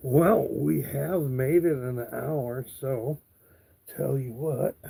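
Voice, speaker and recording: A man with a medium-pitched voice speaks very slowly, his tone dark and mellow, somewhat breathy, with ordinary variation in pitch. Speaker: live streamer. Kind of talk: casual live stream chat. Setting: live stream.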